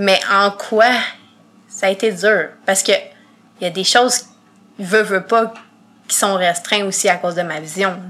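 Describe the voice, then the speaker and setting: At a fairly slow pace and with long, frequent pauses, a woman speaks at a medium pitch in a bright, sharp tone with fairly even intonation. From Quebec, Montreal. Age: 20s. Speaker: podcast guest with visual impairment. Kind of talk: interview.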